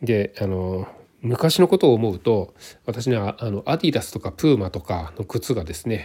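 A man speaks at a moderate pace in a fairly low, dark and mellow voice with very wide pitch swings, on a very clean recording with a silent background. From Japan. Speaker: hiking podcaster. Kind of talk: solo podcast monologue. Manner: halting, many fillers.

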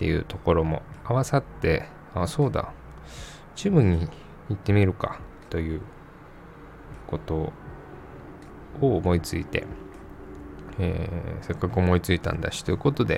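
In a relaxed tone, a man with a very deep, low pitch talks at a moderate pace, making very wide pitch swings and long, frequent pauses. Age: 30s. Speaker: podcast host. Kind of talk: casual solo podcast talk.

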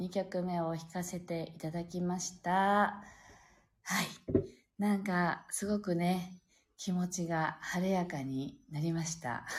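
A woman with a fairly low pitch speaks at a very slow pace in a relaxed, gentle, somewhat breathy tone. Her intonation is fairly even. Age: 40s. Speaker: pianist and live-stream host. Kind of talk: casual live-stream chat.

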